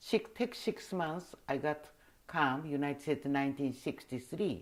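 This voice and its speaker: A woman speaks with a Japanese accent and lively intonation at a moderate pace. The recording is very clean, with a silent background. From Taiwan. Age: 80s+. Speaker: costume designer. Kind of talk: oral history interview. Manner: halting.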